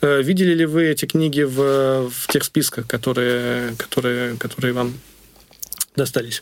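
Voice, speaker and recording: Over noticeable background noise, a man speaks at a medium pitch with fairly even intonation. His pace is fairly slow, with long, frequent pauses. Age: 30s. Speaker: podcast host. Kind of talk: interview.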